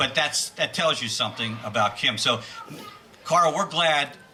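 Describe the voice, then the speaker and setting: A man at a moderate pace, amid audible room echo and noticeable background noise. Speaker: school administrator. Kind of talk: speech at a tribute event.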